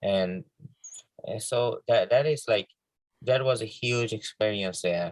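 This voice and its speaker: A medium-pitched male voice, very slow, with ordinary pitch variation, somewhat breathy, long and frequent pauses, and a dry, close sound with no echo. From Bangladesh. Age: young. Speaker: filmmaker. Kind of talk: interview. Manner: halting.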